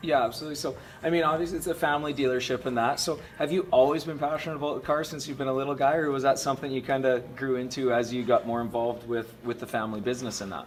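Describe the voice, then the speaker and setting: Very rapid male speech at a mid-range pitch, normal pitch movement, and clearly audible background noise. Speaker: web series host. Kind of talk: interview. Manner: casual.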